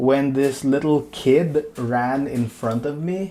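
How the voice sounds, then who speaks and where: Here is a man with a dark, mellow tone at medium pitch. His pitch variation is ordinary. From Philippines. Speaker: comics artist, art streamer. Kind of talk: casual livestream chat while drawing. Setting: livestream. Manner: halting, many fillers and repeats.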